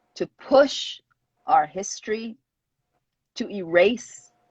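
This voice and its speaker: Breathing somewhat audibly through her words, a woman speaks very slowly at a fairly high pitch. Her pitch swings very widely. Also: long, frequent pauses. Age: 50s. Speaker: publicist. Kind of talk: interview. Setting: video call livestream. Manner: halting.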